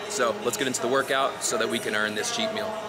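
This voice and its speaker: A man speaks at a fairly quick pace against loud music in the background. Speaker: fitness vlogger. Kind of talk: casual vlog chat. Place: gym. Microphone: phone near.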